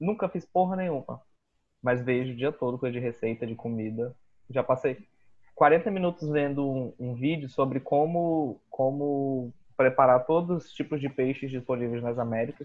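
A man at medium pitch speaks at a moderate pace in a normal speaking voice. His pitch variation is ordinary, and his loudness shows big swings. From Brazil, Boa Vista, Roraima. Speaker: podcast co-host, illustrator. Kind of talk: casual chat.

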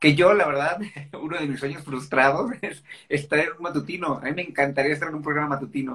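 Pitched fairly high, a man talks at a very fast pace. His intonation stays fairly even. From Mexico, Guadalajara (Jalisco). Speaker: actor. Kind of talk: casual interview.

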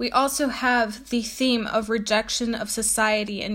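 A woman with an unremarkable speaking voice, fairly high pitch, fairly even intonation and moderate pace, in a very clean recording with a silent background. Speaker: podcast host. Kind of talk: educational talk, with a poem read aloud. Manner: explanatory, teacher-like, with frequent um and uh fillers.

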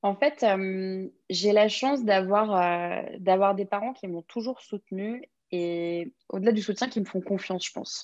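A woman with a normal speaking voice talks at a fairly slow pace and medium pitch. Her pitch variation is ordinary, and the background is quiet. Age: 20s. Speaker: press agent. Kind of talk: interview.

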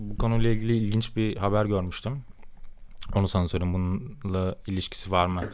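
Over audible room echo, a man speaks at a moderate pace in a fairly low voice with fairly even intonation. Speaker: software engineer, podcast co-host. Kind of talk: casual chat. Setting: home studio.

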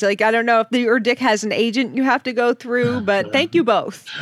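A woman's fairly high voice at a fairly quick pace, dry and close with no echo, over noticeable background noise. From Boston, US Northeast. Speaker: podcast co-host. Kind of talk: casual comedic chat.

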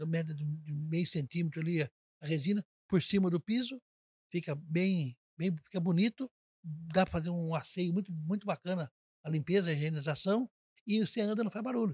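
A man speaks in a high pitch with ordinary pitch variation and long, frequent pauses. The sound is dry and close, with no echo. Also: fairly quick pace. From Brazil, Avaré (São Paulo state interior). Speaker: hospital administrator, retired banker. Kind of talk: interview.

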